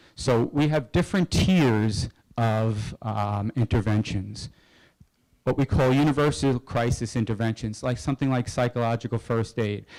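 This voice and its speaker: The sound is dry and close, with no echo and very even loudness. The recording is very clean over a silent background. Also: man, medium pitch for a man, ordinary pitch variation. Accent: American. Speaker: psychologist presenter. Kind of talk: lecture.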